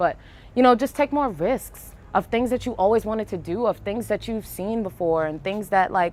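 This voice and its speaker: A woman speaks at a moderate pace in a strong Brooklyn accent. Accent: thick Brooklyn. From New York, Brooklyn. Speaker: artist and poet. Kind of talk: casual interview. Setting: outdoors on a rooftop. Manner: casual, hesitant fillers.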